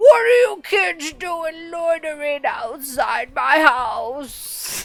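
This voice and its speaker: Faint music plays in the background behind a put-on character voice. The delivery is very slow. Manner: scowling, irritable.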